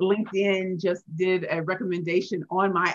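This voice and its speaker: A woman speaks with an American accent. Her pitch sits in the middle range. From St. Louis, Missouri (inner city). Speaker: pitch coach and author. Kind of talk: interview. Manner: animated.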